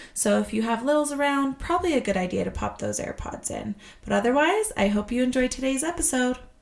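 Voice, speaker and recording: Over noticeable background noise, a woman talks at a very fast pace with a high pitch and lively intonation. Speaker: health podcast host. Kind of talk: casual chat.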